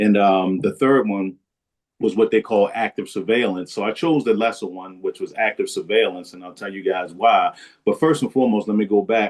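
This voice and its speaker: At a moderate pace, a man talks at a fairly low pitch with ordinary pitch variation and big swings in loudness. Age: 60s. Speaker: prostate cancer survivor. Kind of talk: testimony. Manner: casual, animated.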